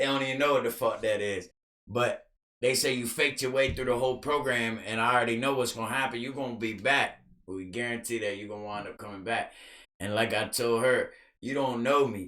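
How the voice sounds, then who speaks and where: Loud and bright with a sharp tone, a man's medium-pitched voice moves at a fairly quick pace. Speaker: podcast guest, recovering addict. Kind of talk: casual chat. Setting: studio. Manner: animated.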